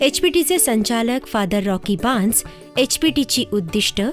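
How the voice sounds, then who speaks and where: Against music in the background, a woman speaks in a high pitch with very wide pitch swings. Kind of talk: documentary narration. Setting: studio.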